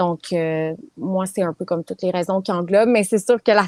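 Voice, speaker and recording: Her voice is dry and close, with no echo. The woman's pitch is medium, with fairly even intonation. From Quebec. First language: English (speaking French). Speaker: property management business owner. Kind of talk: interview.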